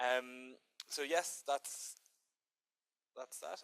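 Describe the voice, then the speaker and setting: A man talks with an Irish accent. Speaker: diplomat. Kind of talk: conference presentation. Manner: hesitant, many fillers.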